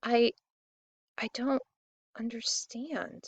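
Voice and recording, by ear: Mumbling in a put-on character voice, a woman speaks high and guttural.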